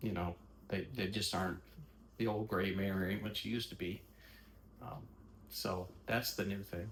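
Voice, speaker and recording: Very deep and low-pitched with vocal fry, a man speaks at a moderate pace with ordinary pitch variation and long, frequent pauses. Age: 60s. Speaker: interviewee discussing health journey. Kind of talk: casual interview chat. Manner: halting, many fillers and repetitions.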